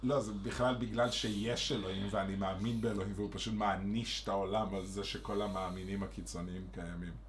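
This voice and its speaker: With an animated tone and hardly any pauses, a man talks at a fairly quick pace and fairly low pitch, with audible room echo. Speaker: podcast co-host. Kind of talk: casual chat.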